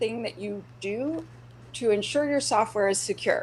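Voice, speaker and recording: Vocal fry colors a woman's medium-pitched voice with a Canadian accent. She speaks at a moderate pace with lively intonation. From Canada. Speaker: security speaker. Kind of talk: conference talk. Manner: animated.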